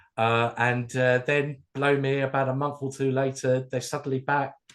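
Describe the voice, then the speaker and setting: A medium-pitched man's voice with a southern English accent against a quiet background. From southern England, near London. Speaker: music fan and DJ. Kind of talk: casual chat.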